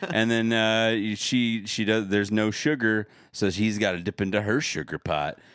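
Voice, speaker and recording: A man's normal speaking voice, with fairly even intonation, very even loudness and a moderate pace over a quiet background. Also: fairly low pitch for a man. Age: 30s. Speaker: podcast co-host. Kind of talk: casual chat.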